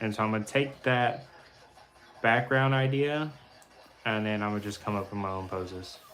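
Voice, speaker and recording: A quiet man's voice, fairly low in pitch, moves at a moderate pace with fairly even intonation amid audible room echo. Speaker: artist streaming live drawing. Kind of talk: casual live stream chat while drawing. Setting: live stream.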